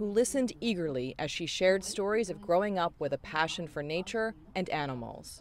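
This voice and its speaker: A woman's fairly low voice at a fairly quick pace, with very wide swings in pitch. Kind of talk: news report narration.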